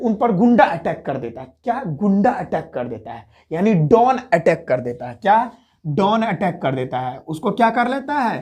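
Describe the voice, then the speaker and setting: A man with a high pitch speaks with very wide pitch swings and big swings in loudness. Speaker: teacher. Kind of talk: tutorial. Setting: at home, others asleep nearby. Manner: soft-spoken; repetitive, question-and-answer drilling.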